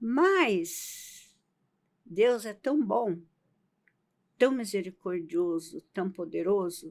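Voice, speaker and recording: A woman at medium pitch speaks very slowly, with long, frequent pauses. The recording is very clean, with a silent background. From Brazilian Northeast. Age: 80s+. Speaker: podcast guest, host's grandmother. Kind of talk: casual interview, life story. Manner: halting, with self-corrections.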